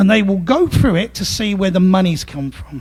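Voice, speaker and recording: This man speaks with an East End London accent at a high pitch. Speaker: legal services manager giving a talk. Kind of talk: presentation to a club audience.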